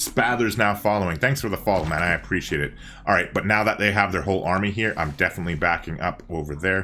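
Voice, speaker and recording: A man races along at a very fast pace, his very deep, low pitch carrying a bright, sharp tone and ordinary pitch variation. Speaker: video game streamer. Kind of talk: live gameplay commentary. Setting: live stream. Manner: casual, conversational.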